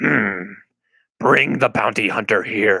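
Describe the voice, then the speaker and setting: Using a put-on character voice, a man sounds raspy and fairly low-pitched. His delivery moves fairly slowly. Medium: read story. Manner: inverted word order, deliberate.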